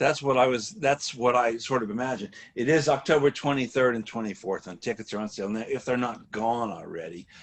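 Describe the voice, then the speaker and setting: Medium in pitch, a man talks with ordinary pitch variation. He uses an ordinary speaking voice at a fairly quick pace. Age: 60s. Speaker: interview host. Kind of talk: interview.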